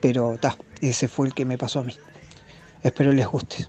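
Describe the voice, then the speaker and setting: A man speaks in a monotone, flat intonation with a Uruguayan accent. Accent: Uruguayan Rioplatense Spanish. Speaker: listener. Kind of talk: testimony. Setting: recorded voice message.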